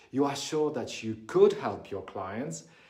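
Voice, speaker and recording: A man speaks at a fairly high pitch and a fairly slow pace. Room echo can be heard. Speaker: business coach. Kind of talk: talking-head tutorial.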